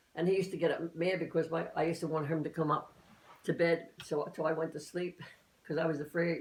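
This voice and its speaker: A woman at a very fast pace, fairly low in pitch, flat and monotone, over noticeable background noise. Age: 80s+. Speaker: elderly mother recounting family history. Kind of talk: family interview, casual reminiscing. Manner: halting, with false starts and repetitions.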